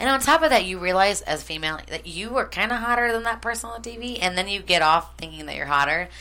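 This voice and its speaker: A woman talks at a very fast pace with hardly any pauses, her tone animated. Her voice is bright and sharp, with vocal fry. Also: medium pitch for a woman, lively intonation, big swings in loudness. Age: 20s. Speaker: first-time podcast guest. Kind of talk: casual chat.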